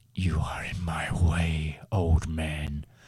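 A man puts on a character voice at a very deep, low pitch, with a hissing sound. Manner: hissing, threatening.

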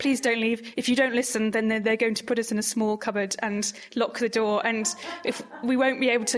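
At a fairly quick pace comes a plain, everyday voice. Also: woman. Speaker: radio host. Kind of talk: scripted podcast presenting and interview.

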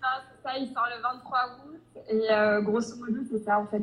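A woman's fairly high voice, at a very slow pace with fairly even intonation. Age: 20s. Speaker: romance novelist. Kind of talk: interview. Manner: hesitant, many fillers.

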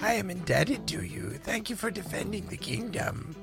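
Over clear background music, a man puts on a high-pitched character voice and speaks at a moderate pace. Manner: formal, grateful.

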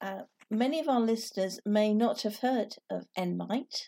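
With a British accent, a woman speaks in a fairly high pitch with ordinary pitch variation. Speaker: podcast host. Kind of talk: interview.

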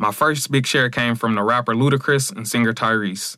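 A man speaks at a fairly quick pace in a bright, sharp tone, recorded very cleanly against a silent background. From Michigan, Battle Creek. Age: 20s. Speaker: comedian. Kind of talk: scripted narration.

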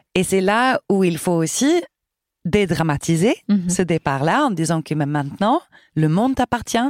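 Speaking at a fairly slow pace with very wide pitch swings and very even loudness, a woman is heard in a very clean recording with a silent background and a dry, close sound with no echo. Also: medium pitch for a woman. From Sweden. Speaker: choir director. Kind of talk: interview.

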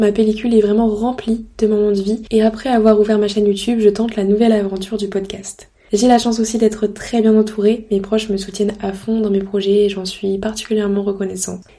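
Fairly quick and with hardly any pauses, a woman speaks in a fairly high pitch with monotone, flat intonation. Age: 20s. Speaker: podcaster. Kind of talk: casual monologue.

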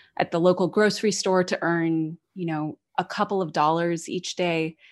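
Against a quiet background, a woman with an American accent uses a normal speaking voice at medium pitch and a moderate pace. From United States. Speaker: podcaster. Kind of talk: storytelling narration; casual interview chat.

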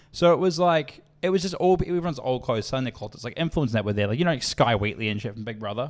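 In a New Zealand accent, a man talks at a very fast pace with a medium pitch and very wide pitch swings. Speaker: podcast co-host. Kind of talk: casual chat.

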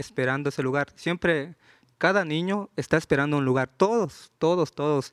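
A man's fairly high-pitched, normal speaking voice with ordinary pitch variation, dry and close with no echo, in a very clean recording with a silent background. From Juchitán, Oaxaca, Mexico. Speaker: rapper. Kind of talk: live panel interview. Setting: stage with audience at book fair.

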